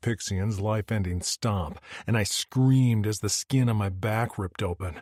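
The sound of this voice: Ordinary pitch variation within an unforced reading voice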